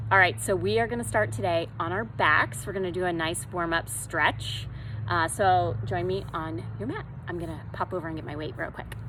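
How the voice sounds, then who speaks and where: Amid audible room echo and noticeable background noise, a woman keeps a moderate pace. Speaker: yoga instructor. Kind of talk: fitness class instruction. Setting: outdoors. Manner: loud; calm, soothing.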